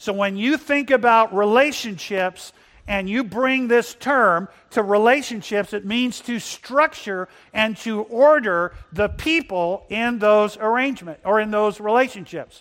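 The speech moves at a fairly slow pace. Its pitch variation is ordinary. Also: man, high pitch for a man. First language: bilingual English and Spanish. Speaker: pastor. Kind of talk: sermon. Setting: church.

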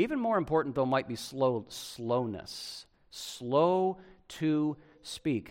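The man's pitch is fairly high. He speaks at a very slow pace. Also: lively intonation. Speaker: pastor. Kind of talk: sermon. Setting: church.

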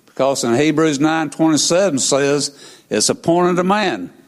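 Speaking with a Southern US accent, the man has a fairly high pitch. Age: 70s. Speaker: preacher. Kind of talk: sermon. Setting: church.

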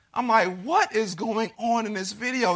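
A man's raised, projected voice with a bright, sharp tone, ordinary pitch variation and a fairly slow pace, in a very clean recording with a silent background. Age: 30s. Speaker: pastor and church planter. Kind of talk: sermon.

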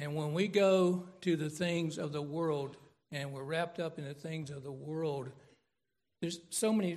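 A man's ordinary speaking voice, fairly high in pitch, at a moderate pace with fairly even intonation. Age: 60s. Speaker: pastor. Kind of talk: sermon. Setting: church.

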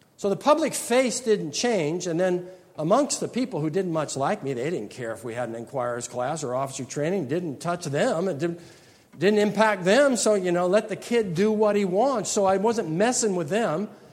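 In a room with audible echo, a man with a high voice talks at a moderate pace, his pitch swinging very widely. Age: 60s. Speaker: pastor. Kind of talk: lecture. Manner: halting.

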